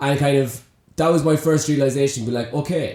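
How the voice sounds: A man's medium-pitched voice at a fairly quick pace, with fairly even intonation and a slightly mellow tone.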